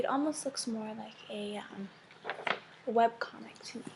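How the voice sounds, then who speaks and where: The speaker is soft-spoken. Noticeable background noise is present. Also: woman. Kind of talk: ASMR soft-spoken talk to camera.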